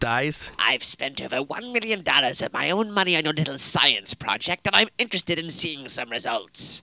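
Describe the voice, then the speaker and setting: A man's fairly high voice with very wide pitch swings and hardly any pauses. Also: moderate pace. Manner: impatient, skeptical.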